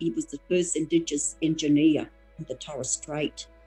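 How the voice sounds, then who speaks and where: Music plays in the background. A woman speaks with a very deep, low pitch. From Torres Strait, Australia. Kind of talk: interview answer.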